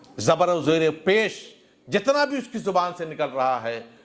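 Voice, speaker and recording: Very wide swings of pitch from a man, noticeable background noise behind him. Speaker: Islamic scholar and preacher (mufti). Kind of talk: Islamic sermon (religious speech to a congregation).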